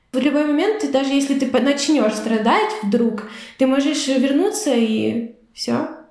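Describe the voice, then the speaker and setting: At a very slow pace, a woman speaks with high pitch, lively intonation and very even loudness, with audible room echo around her. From Ukraine. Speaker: volunteer and youth magazine founder. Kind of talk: casual chat.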